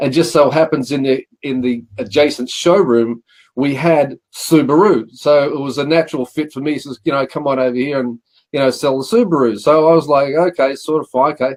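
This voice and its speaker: A man with an Australian accent talks at a fairly quick pace and fairly high pitch, with ordinary pitch variation. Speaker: car leasing broker. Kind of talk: interview.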